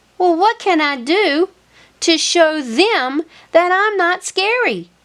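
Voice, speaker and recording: A squeaky, put-on character voice speaks at a fairly slow pace. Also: woman, extremely high pitch for a woman. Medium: read story. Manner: fearful, jumpy.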